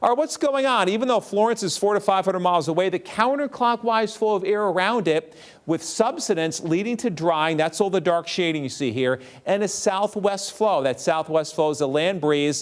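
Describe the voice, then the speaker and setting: Amid noticeable background noise, a man at a high pitch talks at a moderate pace with very even loudness. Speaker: TV weather forecaster. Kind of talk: TV weather forecast.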